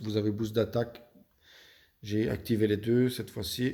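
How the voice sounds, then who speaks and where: A man with a slight Belgian accent speaks in a dark, mellow tone with fairly even intonation. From Belgium. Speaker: video game youtuber. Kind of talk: gaming tutorial. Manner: hesitant, many fillers.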